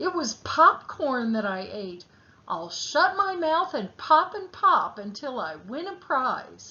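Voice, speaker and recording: A woman's put-on character voice, raised and projected, high pitched with very wide pitch swings at a fairly slow pace. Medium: read story. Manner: gentle, innocent.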